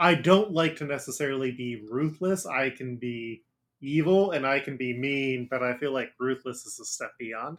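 With an American accent and an ordinary speaking voice, a man talks at a moderate pace in a fairly high pitch, his loudness swinging widely on a very clean recording with a silent background. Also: ordinary pitch variation. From Ohio, Cincinnati area. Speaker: podcast host and game master. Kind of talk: casual chat.

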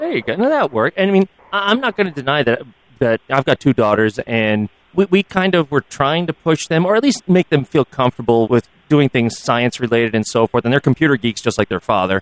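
Dry and close with no echo, the recording captures a man with an American accent at a fairly high pitch. He moves at a fairly quick pace with very wide pitch swings. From United States. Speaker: podcast co-host. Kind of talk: interview.

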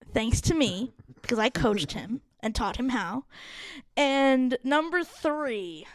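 A woman's high-pitched voice with an American accent, lively intonation and a very slow pace. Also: very clean recording, silent background. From Phoenix, Arizona. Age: 30s. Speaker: podcast producer. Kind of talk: casual chat.

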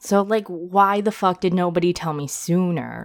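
A woman's medium-pitched voice in an American accent, on a very clean recording with a silent background. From United States (adopted from South Korea). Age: 30s. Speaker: podcast host. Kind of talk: casual monologue.

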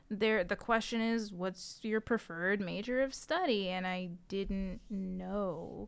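A woman's medium-pitched voice with an American accent, very slow yet with hardly any pauses, in fairly even intonation. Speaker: graduate degree holder. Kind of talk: casual chat.

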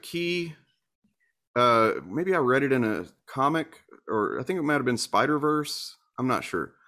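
A man's fairly high voice in an American accent, bright and sharp in tone, with ordinary pitch variation on a very clean recording with a silent background. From US Deep South. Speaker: YouTuber. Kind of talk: interview. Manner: halting, many fillers.

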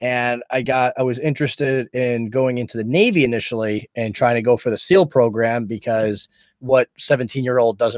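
Recorded dry and close with no echo, the speaker has an ordinary speaking voice with ordinary pitch variation. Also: man. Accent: American. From Rhode Island, US. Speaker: podcast creator and former Coast Guard member. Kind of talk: casual chat.

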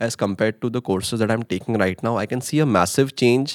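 A man with an Indian accent speaks at medium pitch and a fairly quick pace with fairly even intonation. The recording is very clean and dry, with a close sound, no echo and a silent background. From India, Mumbai. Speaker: international master's student. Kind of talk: casual interview.

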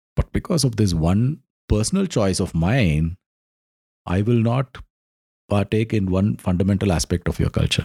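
A man with an Indian accent uses lively intonation and a fairly low pitch. His dark, mellow tone is broken by long, frequent pauses. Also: moderate pace. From South India. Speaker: podcast co-host. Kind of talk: casual chat.

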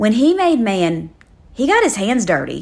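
The speaker has a South Louisiana accent. The recording is very clean, with a silent background. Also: woman. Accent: South Louisiana Southern US. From South Louisiana, Livingston. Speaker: devotional podcast host. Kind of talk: devotional Bible teaching.

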